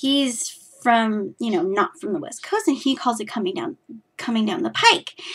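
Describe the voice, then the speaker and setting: Lively in intonation, a woman with an American accent speaks at a high pitch. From California. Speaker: knitting podcaster. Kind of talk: casual chat.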